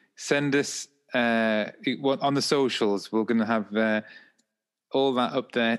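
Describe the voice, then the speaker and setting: A man with an English accent and a medium pitch speaks with fairly even intonation against a quiet background. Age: 30s. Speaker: podcast co-host and mental health professional. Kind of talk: casual chat.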